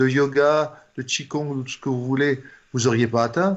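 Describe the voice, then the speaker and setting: A man speaks in a fairly high voice at a moderate pace. His intonation stays fairly even. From France. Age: 60s. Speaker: doctor and author. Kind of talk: interview. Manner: halting, with frequent fillers and repetitions.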